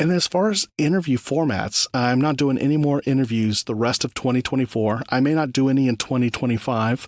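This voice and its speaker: A man talks at a fairly quick pace with hardly any pauses, in an unremarkable speaking voice at medium pitch with ordinary pitch variation and very even loudness. The sound is dry and close with no echo, on a very clean recording with a silent background. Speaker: podcast host; voice actor. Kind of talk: solo podcast talk.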